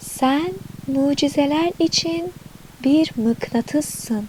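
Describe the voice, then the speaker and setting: A woman speaks in a high, calm, soothing voice with lively intonation. Background noise can be clearly heard. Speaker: affirmation narrator and channel owner. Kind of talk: guided affirmation / meditation narration. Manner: calm, soothing, slow.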